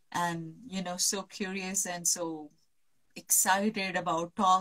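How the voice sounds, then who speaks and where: Somewhat breathy female speech, fairly low in pitch for a woman, with fairly even intonation. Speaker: reiki and holistic healing practitioner. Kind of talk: live stream interview. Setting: online live video call from the mountains.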